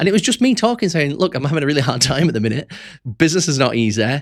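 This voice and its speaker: Speaking with a West Yorkshire accent, a man uses a fairly high pitch with very wide pitch swings. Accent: West Yorkshire, self-conscious about it. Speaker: entrepreneur vlogger. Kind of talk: casual unscripted monologue. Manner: conversational, friendly.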